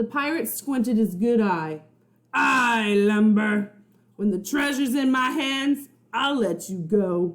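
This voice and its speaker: In a put-on character voice, the speaker growls at a fairly high pitch, sounding gruff and moving at a fairly slow pace. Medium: read story. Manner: gruff, growling, commanding.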